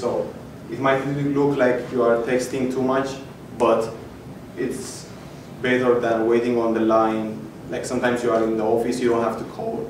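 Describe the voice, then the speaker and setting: Speaking at a fairly quick pace, a man holds a monotone, flat delivery at medium pitch, with audible room echo and noticeable background noise. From Ethiopia. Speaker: hackathon participant presenting his project. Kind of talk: project demo pitch. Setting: stage with audience. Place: hall. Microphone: camera far.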